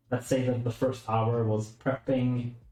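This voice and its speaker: Music plays behind a man who speaks rather slowly. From Sweden. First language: Swedish. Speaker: streamer. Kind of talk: live stream commentary. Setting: room, livestream while building PC.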